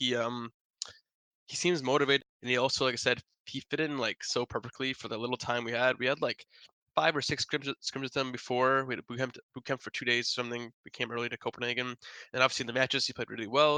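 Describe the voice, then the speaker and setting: At a very fast pace, a man mumbles in a medium pitch with a bright, sharp tone, the sound dry and close with no echo. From US Midwest (Wisconsin). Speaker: pro esports player. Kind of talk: interview. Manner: mumbling.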